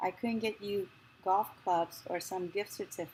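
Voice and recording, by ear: A natural voice, reading aloud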